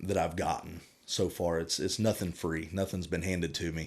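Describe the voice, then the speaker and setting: This man speaks with a Southern accent. His pace is moderate, and the recording is very clean with a silent background. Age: 30s. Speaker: firefighter and army veteran. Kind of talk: casual interview chat. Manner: halting.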